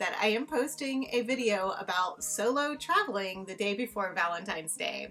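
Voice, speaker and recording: With lively intonation, a woman talks over music in the background. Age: 50s. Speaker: travel vlogger. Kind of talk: casual talk to camera.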